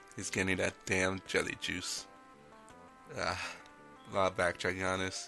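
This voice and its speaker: Music plays in the background as the speaker holds a monotone, flat delivery. The pace is moderate, with long, frequent pauses. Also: man, very deep, low pitch for a man. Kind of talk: video game commentary. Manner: casual, rambling.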